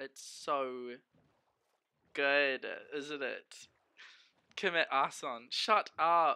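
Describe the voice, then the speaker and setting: A man's very slow speech full of long, frequent pauses, set against a quiet background. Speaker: gaming streamer. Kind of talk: casual livestream chat while gaming. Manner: animated. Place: home room.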